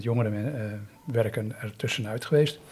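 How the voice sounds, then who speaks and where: This is a man speaking at a medium pitch. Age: 50s. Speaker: volunteer youth mentor. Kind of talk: interview. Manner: halting.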